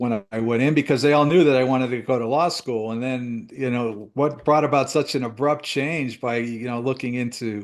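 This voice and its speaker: A man with an American accent speaks in a normal speaking voice at a moderate pace with hardly any pauses. His intonation is fairly even, and the background is quiet. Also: medium pitch for a man. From US Northeast. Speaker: retired DEA agent. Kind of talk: interview.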